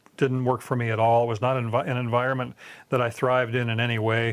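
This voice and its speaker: This man talks at a fairly quick pace with a Canadian accent. His voice sits at a medium pitch. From Canada, Southern Ontario. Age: 60s. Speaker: former criminal giving testimony. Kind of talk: testimony. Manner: halting, many repetitions and fillers.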